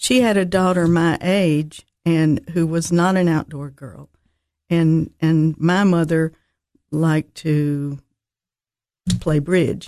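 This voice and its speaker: In a Tennessee accent, a woman speaks at a very slow pace with long, frequent pauses, using a fairly low pitch, a dark, mellow tone and fairly even intonation. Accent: Southern US, Tennessee. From Nashville, Tennessee. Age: 70s. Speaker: birdwatcher. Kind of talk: casual interview chat. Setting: radio studio.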